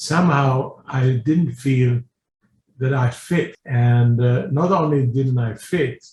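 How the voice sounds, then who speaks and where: A man's medium-pitched, somewhat breathy voice at a very slow pace, with ordinary pitch variation and very even loudness. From Sweden, Stockholm. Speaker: businessman and philanthropist. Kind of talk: personal testimony.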